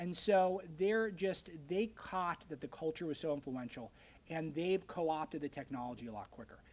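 The intonation is lively and the pace moderate. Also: man, fairly high pitch for a man. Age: 20s. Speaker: news editor. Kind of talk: lecture. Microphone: podium.

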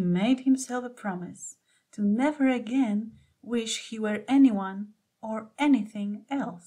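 Quiet background behind a natural reading voice, its pitch varying in an ordinary way

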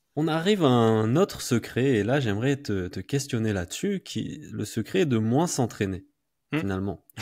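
A man's pitch rises and falls very widely, and the background is quiet. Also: medium pitch for a man, moderate pace. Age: 30s. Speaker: podcast host. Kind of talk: interview. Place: home room. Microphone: studio mic.

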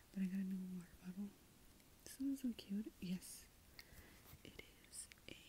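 Whispering and soft-spoken, the speaker talks at a moderate pace with an American accent, leaving long, frequent pauses over light background noise. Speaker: ASMR creator. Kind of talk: ASMR ramble. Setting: filming in room at night. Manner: soft-spoken whisper; halting, many ums. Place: home room.

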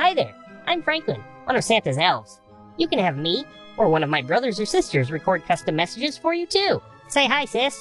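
At a fairly quick pace, a female-sounding voice puts on a character voice at a fairly high pitch over clear music in the background. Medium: voice reel. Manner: upbeat.

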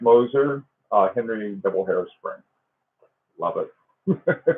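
The delivery is very slow, with ordinary pitch variation. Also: man. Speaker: watch collector livestream host. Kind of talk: casual livestream chat. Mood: jovial, laughing often. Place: home room. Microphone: webcam.

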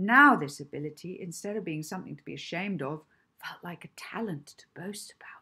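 A woman talks at a fairly quick pace with ordinary pitch variation, her bright, sharp tone carrying a slightly husky edge.

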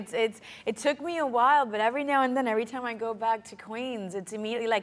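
A woman's voice carries a bright, sharp tone with big swings in loudness. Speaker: actress. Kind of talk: talk show guest interview. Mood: amused, laughing. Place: stage.

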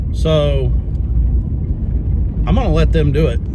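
Over loud background noise, a man talks at a fairly slow pace. The sound is dry with no echo, and his pitch varies in an ordinary way. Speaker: farmer vlogger. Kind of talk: casual vlog chat. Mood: serious, reflective. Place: car. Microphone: phone near.

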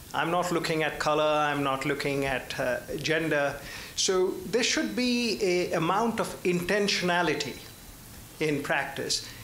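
Audible room echo and light background noise accompany a man with an American accent. He talks at a fairly slow pace, fairly high for a man, with ordinary pitch variation. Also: very even loudness. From Indian American. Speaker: audience member. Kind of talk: audience question. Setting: luncheon event with audience. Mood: earnest, probing. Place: hall.

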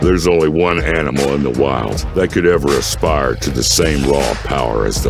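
A man with a very deep, low pitch at a moderate pace, a dry sound with no echo and clear music in the background. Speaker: voice actor. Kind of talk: TV commercial read. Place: booth.

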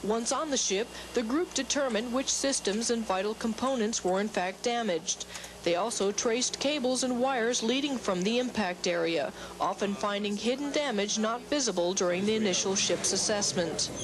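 Over noticeable background noise, a woman speaks at a fairly high pitch and a moderate pace, with ordinary pitch variation and very even loudness. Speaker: Navy journalist reporter. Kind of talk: scripted news report narration, polished broadcast delivery. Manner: formal, steady, even-paced.

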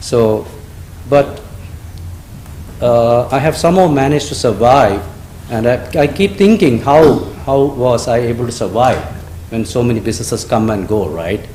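A man with a non-native accent speaks at a moderate pace in a medium pitch with ordinary pitch variation, amid noticeable background noise and audible room echo. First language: not English. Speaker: restaurant owner, public commenter. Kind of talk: public comment at council meeting. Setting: council chambers. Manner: halting.

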